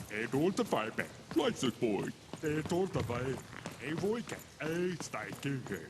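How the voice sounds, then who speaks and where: A man's fairly high, put-on character voice at a fairly slow pace, with long, frequent pauses and clear background noise. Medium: video game. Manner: garbled pseudo-foreign babble.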